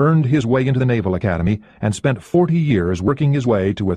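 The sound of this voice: It is an unforced reading voice, with lively intonation.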